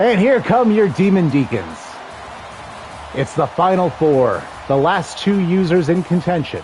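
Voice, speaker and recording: Lively intonation comes through at a fairly slow pace, with long, frequent pauses and very even loudness. Music plays in the background. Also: man, high pitch for a man. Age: 40s. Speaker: video game streamer. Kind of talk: live gameplay commentary. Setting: live stream. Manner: casual, conversational.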